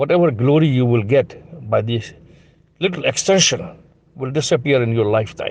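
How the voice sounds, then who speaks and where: Medium-pitched male speech, moderately paced. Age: 70s. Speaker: journalist. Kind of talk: recorded political appeal. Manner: repetitive, pleading.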